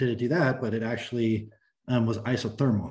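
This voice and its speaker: A somewhat breathy man with an American accent, at a moderate pace over a quiet background. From US West, Sacramento, California; California. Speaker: mechanical engineer. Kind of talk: technical presentation. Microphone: video call.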